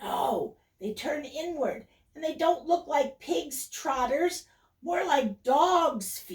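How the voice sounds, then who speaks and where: Using a put-on character voice, a woman talks very slowly at a high pitch with lively intonation. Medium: read story. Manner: sad, confiding.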